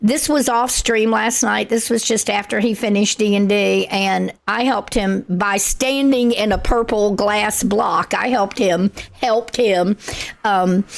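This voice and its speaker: Noticeable background noise sits behind a woman speaking at a fairly high pitch. Her intonation is fairly even and her loudness very even. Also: fairly slow pace. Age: 70s. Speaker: gaming livestreamer. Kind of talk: casual livestream chat while gaming. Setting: livestream. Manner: chatty, thinking aloud.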